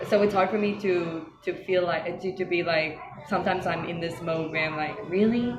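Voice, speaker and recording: A woman speaks at a fairly low pitch and a moderate pace. Her intonation is fairly even, with noticeable background noise behind her. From Cape Town, South Africa. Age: young. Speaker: teacher. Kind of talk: interview answer.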